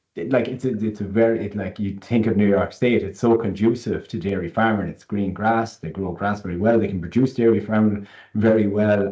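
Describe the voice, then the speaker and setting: Speaking at a fairly quick pace, a man with an Irish accent keeps a fairly low pitch and fairly even intonation. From rural Ireland. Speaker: panel moderator on rural mental health. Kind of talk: panel discussion. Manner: halting, many repetitions.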